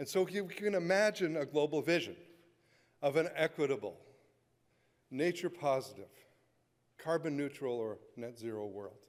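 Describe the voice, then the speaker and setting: A man with a fairly high pitch and lively intonation, his speech broken by long, frequent pauses. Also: moderate pace. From western Canada. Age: 60s. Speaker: conservationist. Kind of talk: keynote speech. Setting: conference stage with audience. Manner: animated.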